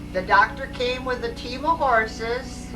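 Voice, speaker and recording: Music plays in the background behind a woman with an American accent. Her fairly high voice keeps a fairly even intonation. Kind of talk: home video life story telling. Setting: home VHS recording.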